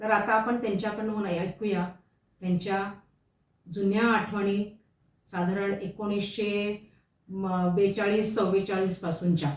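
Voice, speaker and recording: A woman at a medium pitch with monotone, flat intonation. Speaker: interviewer. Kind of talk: interview questions.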